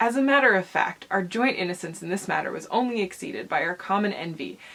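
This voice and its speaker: A woman talks at a very fast pace with lively intonation and vocal fry. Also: medium pitch for a woman. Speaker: transmasculine vlogger. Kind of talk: reading aloud; casual vlog talk. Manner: halting, with fillers and self-corrections.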